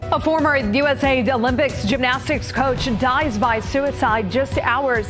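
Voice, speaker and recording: Against music in the background, a woman with an American accent speaks with ordinary pitch variation. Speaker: TV news anchor and reporter. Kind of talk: TV news anchor read, live broadcast.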